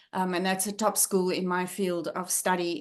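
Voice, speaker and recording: A woman speaks with a South African accent. The background is quiet. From South Africa, Johannesburg. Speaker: leadership trainer and former academic. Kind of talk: guest talk on video call. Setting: video call. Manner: hesitant, many fillers.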